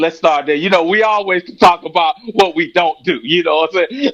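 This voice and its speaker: A high-pitched man with a Florida accent lets his voice make very wide pitch swings. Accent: Florida twang. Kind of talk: casual religious discussion.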